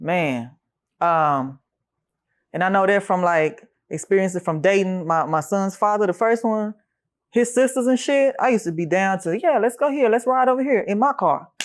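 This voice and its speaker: At a moderate pace, a woman with a medium pitch moves through very wide pitch swings on a very clean recording with a silent background. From Germany. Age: 30s. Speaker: interviewee. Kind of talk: casual interview. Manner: casual, hesitant with fillers.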